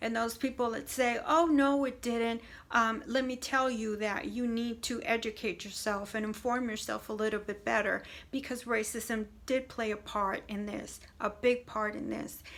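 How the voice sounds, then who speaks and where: Speaking in a Spanish accent, a woman uses a fairly high pitch, fairly even intonation and a moderate pace. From Puerto Rican background. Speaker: video blogger on faith. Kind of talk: casual monologue to camera. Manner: hesitant with many fillers.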